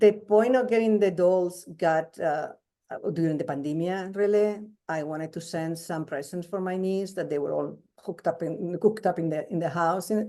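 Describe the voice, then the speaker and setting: A woman with a fairly low pitch and a dark, mellow tone talks at a moderate pace with ordinary pitch variation. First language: not English. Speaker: crochet doll designer. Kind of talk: interview. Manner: halting, many repetitions.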